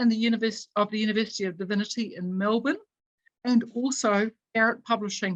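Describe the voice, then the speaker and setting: With a New Zealand accent, a woman speaks at a moderate pace in a somewhat breathy, fairly high-pitched voice. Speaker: event moderator. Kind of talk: reading aloud; formal introduction. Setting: video call.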